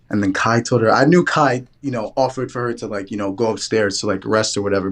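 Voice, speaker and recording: A man in a New York accent at a very fast pace. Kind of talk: casual debate chat.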